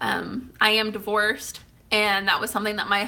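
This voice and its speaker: Bright and sharp in tone, a woman speaks at a medium pitch and fairly quick pace in a monotone, flat delivery. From Oklahoma, Tulsa. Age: 30s. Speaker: YouTuber. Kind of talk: casual Q&A vlog. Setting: eating cake while talking.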